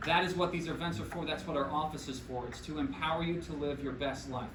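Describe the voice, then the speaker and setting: The speech races along at a very fast pace in an animated tone. Noticeable background noise and audible room echo fill the recording. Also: man. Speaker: chiropractor. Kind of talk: health workshop talk.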